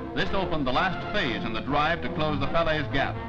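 The speech moves at a fairly quick pace. Clear music plays in the background. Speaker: newsreel narrator. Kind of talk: wartime newsreel narration. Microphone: old recording.

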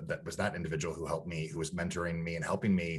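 A man's very deep, low voice over a quiet background. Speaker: diversity and inclusion consultant hosting a webinar. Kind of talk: online interview conversation. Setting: video call. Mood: reflective, personal story. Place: home room. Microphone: video call.

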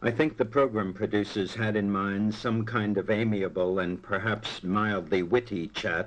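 This man has an American accent and a fairly low pitch. He talks at a moderate pace. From New York. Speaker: broadcaster and journalist. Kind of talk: radio talk. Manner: dated, epic 1940s radio style; impassioned.

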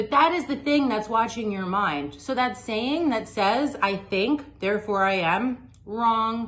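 There is music in the background. A woman talks at a fairly slow pace. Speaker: meditation teacher. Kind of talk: tutorial. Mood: calm, warm, persuasive. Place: home room. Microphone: phone near.

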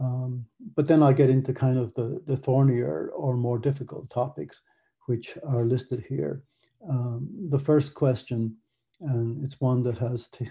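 A man with an American accent speaks at a fairly slow pace in a dark, mellow, somewhat breathy tone, with ordinary pitch variation over a quiet background. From Ireland. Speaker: academic researcher; conference presenter. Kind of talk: conference presentation. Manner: many fillers, hesitant. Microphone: webcam.

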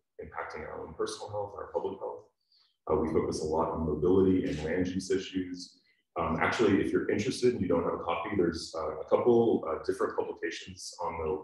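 A man talks at a very fast pace. The background is quiet, but there is audible room echo. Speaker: event host. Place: hall. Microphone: camera far.

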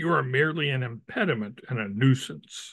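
Against a quiet background, a man talks at a fairly slow pace with a bright, sharp tone. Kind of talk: story reading aloud. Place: home room. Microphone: video call.

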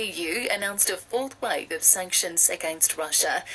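Woman at a moderate pace with lively intonation, over light background noise. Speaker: radio newsreader. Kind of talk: news bulletin reading. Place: studio.

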